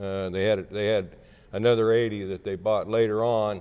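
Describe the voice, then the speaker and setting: A man speaks in a fairly low pitch with an American accent. His intonation is fairly even. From southeast Kansas. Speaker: former state senator and county appraiser. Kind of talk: oral history interview. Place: hall. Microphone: lapel.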